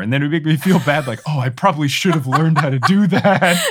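Talking at a very fast pace, a man with a fairly high voice makes very wide pitch swings. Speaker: podcast host. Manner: casual, conversational.

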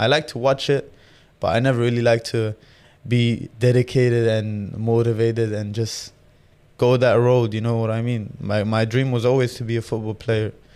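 A man with an Arabic accent speaks at a medium pitch and a moderate pace. His intonation is monotone and flat. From Jordan. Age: 20s. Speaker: professional boxer. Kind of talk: casual interview.

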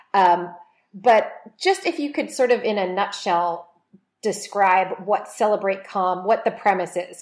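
A woman talks at a moderate pace in a normal speaking voice. Her pitch is medium, with ordinary variation. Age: 40s. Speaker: podcast host. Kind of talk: interview.

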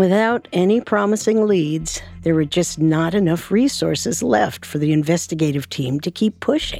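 A woman with an unremarkable speaking voice talks at a moderate pace and fairly low pitch, with lively intonation. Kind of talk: true-crime narration. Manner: even, suspenseful, steady narration.

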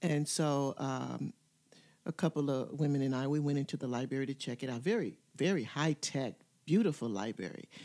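A dark, mellow tone carries lively intonation on a very clean recording with a silent background. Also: woman, very deep, low pitch for a woman, fairly quick pace. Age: 70s. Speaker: retired academic counselor and educator. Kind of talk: interview conversation.

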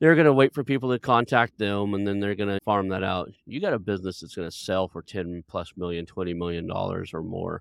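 In an unremarkable speaking voice, a man talks at a fairly quick pace with hardly any pauses, his fairly low pitch showing ordinary variation. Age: 50s. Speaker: podcast host. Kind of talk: interview. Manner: casual.

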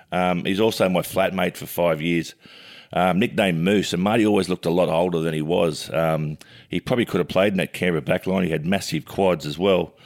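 On a very clean recording with a silent background, a man with an Australian accent and a very deep, low pitch talks at a fairly quick pace with fairly even intonation. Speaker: sports pundit and co-host. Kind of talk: casual sports chat. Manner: loud.

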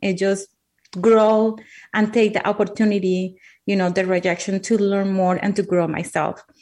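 In a Spanish accent, a woman speaks at a medium pitch with monotone, flat intonation. The background is quiet. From Colombia. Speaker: author, speaker and coach. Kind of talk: casual interview chat.

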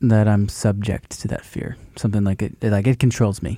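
A man speaks in a fairly low pitch with a dark, mellow tone and fairly even intonation. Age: 20s. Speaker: podcast host. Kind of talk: casual chat about faith.

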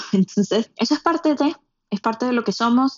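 Her delivery is very fast. A woman is talking. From Venezuela, Puerto Ordaz. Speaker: podcast producer, immigrant. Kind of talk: casual chat.

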